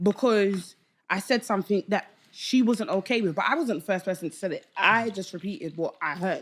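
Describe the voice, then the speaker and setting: Talking at a fairly quick pace, a woman speaks with a London accent. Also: medium pitch for a woman, ordinary pitch variation. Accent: London, Multicultural London English. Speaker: podcast guest, online debate show panelist. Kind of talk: casual podcast chat. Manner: loud.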